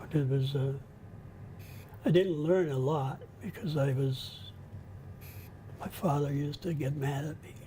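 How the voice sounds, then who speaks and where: Within audible room echo, a man speaks at a fairly slow pace and fairly high pitch with fairly even intonation and long, frequent pauses. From Quebec, Canada (Pontiac region). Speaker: life-story interviewee. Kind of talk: interview. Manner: halting.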